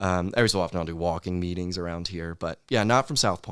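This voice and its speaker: In a very clean recording with a silent background, a man with a very deep, low pitch speaks very fast with fairly even intonation. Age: 20s. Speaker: podcast host. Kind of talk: casual interview chat. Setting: office. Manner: casual, filler-heavy.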